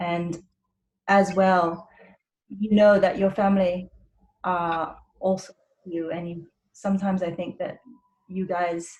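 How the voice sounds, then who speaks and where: A somewhat breathy woman's voice at medium pitch, monotone and flat, fairly slow, with long, frequent pauses. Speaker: doctor. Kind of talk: webinar presentation.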